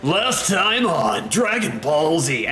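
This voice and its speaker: A man's put-on character voice, high in pitch, over clear background noise. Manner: dramatic announcer voice.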